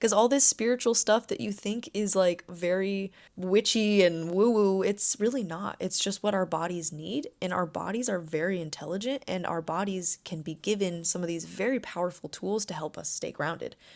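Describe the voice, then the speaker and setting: A woman at a medium pitch and moderate pace, hardly any pauses, in a very clean recording with a silent background. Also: ordinary pitch variation. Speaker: life coach. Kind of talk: self-help podcast talk. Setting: seated, recording. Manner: calm; measured pace.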